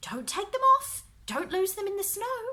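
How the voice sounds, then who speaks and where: A woman uses a squeaky, put-on character voice at an extremely high pitch. It swings very widely in pitch at a moderate pace. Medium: read story.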